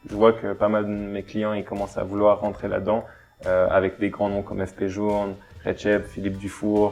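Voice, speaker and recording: Over music in the background, a man with a fairly low pitch speaks fairly quickly in a flat monotone. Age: 20s. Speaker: watch brand co-founder. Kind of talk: interview.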